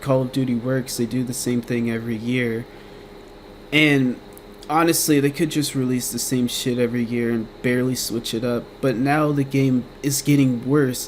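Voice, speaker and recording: Speech at a moderate pace carries a monotone, flat intonation over noticeable background noise. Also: man, medium pitch for a man. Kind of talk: casual gaming commentary rant. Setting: home recording with fan noise. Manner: rambling, casual.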